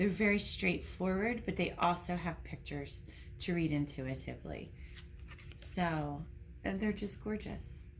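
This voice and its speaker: A woman is talking at a fairly slow pace. There is music in the background. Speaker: intuitive medium and reiki healer. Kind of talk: casual card deck review to camera.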